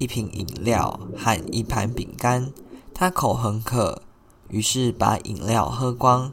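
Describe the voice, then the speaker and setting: Very slow in pace, a man speaks at medium pitch with a soothing, gentle tone. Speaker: podcast host, story narrator. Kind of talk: bedtime fairy-tale narration, read aloud. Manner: soothing, gentle, even-paced storytelling.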